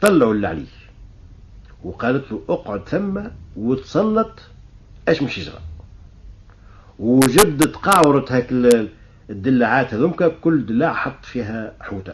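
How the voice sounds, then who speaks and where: A somewhat breathy man talks with a Tunisian accent at a fairly slow pace. He takes long, frequent pauses, and his pitch swings very widely. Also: medium pitch for a man. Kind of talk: folk tale storytelling.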